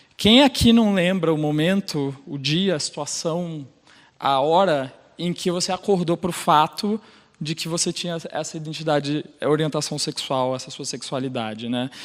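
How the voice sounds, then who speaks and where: Someone with a Rio de Janeiro accent speaks at a fairly slow pace with ordinary pitch variation on a very clean recording with a silent background. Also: man, fairly high pitch for a man. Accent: carioca. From Brazil, Rio de Janeiro. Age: 30s. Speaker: sales operations manager and LGBT group leader. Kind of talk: personal talk on stage.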